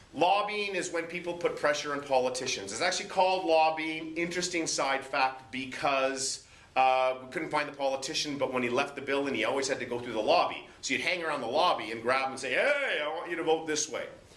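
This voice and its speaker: Noticeable background noise and audible room echo accompany a man speaking at a fairly high pitch and a fairly quick pace, with ordinary pitch variation. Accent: Canadian. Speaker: high school social studies teacher. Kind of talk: classroom lecture. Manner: fast.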